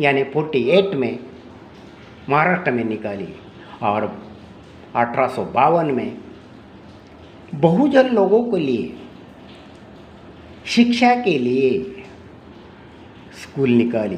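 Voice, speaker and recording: A man with a Marathi accent speaks at a fairly high pitch, his voice swinging very widely up and down. He pauses often and at length, and audible room echo surrounds him. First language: Marathi (speaking Hindi). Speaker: speaker on social reform. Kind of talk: speech. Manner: halting, repetitive.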